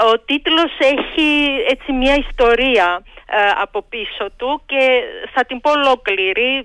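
A woman's high voice with lively intonation at a very slow pace. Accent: Georgian. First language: Georgian (speaking Greek). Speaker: history professor. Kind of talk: radio interview.

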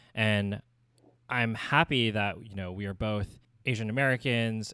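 The recording is very clean with a silent background, carrying a normal speaking voice with fairly even intonation. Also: man. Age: 30s. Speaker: podcast co-host and designer. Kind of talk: casual chat.

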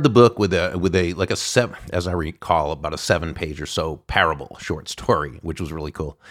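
A man's very deep, low voice at a fairly quick pace with hardly any pauses. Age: 60s. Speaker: podcast host. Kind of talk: interview.

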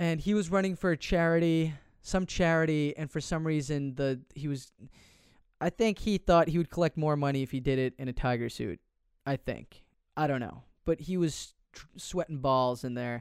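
A man speaks in an unremarkable speaking voice at a moderate pace with ordinary pitch variation. The recording is very clean, with a silent background and a dry, close sound with no echo. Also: fairly high pitch for a man. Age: 20s. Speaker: podcaster telling personal story. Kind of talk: personal storytelling monologue. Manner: casual, many fillers.

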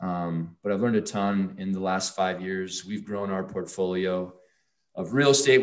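In an ordinary speaking voice, a man talks at a moderate pace with ordinary pitch variation against a quiet background. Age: 40s. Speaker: finance educator and entrepreneur. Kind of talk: interview.

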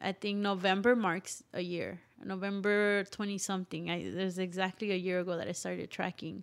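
A woman with an American accent speaks at a moderate pace and medium pitch in a monotone, flat intonation, with hardly any pauses, on a very clean recording with a silent background. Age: 20s. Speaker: singer-songwriter and musician. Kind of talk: casual interview chat.

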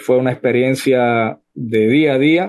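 A man at a medium pitch speaks in a monotone, flat intonation. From Cuba, Villa Clara (Sagua la Grande). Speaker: political activist. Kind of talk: interview testimony. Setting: online audio room.

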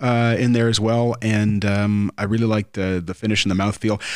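A man with a Canadian accent, medium pitch and fairly quick pace. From Ontario, Canada. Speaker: former radio host, podcast host. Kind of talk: casual chat.

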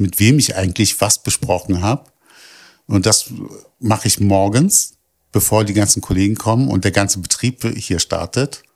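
In a dry, close sound with no echo, a man with an ordinary speaking voice talks at a moderate pace, his fairly low pitch showing ordinary pitch variation. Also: very clean recording, silent background. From Berlin (Kreuzberg). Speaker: project staff doing outreach. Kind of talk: interview.

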